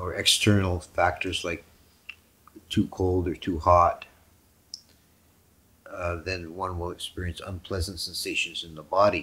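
The intonation is monotone and flat. Delivery is fairly slow, with long, frequent pauses. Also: man, very deep, low pitch for a man. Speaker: monk teacher. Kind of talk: sermon. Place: home room. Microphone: headset.

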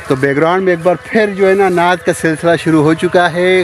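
Recorded dry with no echo and light background noise, a man speaks at a moderate pace. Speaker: vlogger. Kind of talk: casual vlog chat. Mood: relaxed, chatty, amused. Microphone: phone near.

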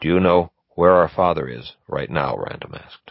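With vocal fry, a man speaks at a moderate pace. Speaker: author reading own novel. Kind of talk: unabridged audiobook reading.

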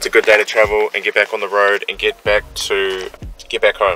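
A man's voice, dry with no echo, over faint background music. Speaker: vlogger. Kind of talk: casual vlog chat. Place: car. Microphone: phone near.

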